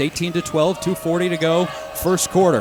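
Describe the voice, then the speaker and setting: A man's energetic, high-pitched voice over noticeable background noise. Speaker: radio play-by-play announcer. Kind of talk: live radio sports play-by-play. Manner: fast, energetic.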